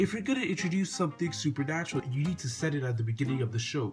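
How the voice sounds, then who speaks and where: A man's voice comes with music in the background. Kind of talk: casual review talk to camera.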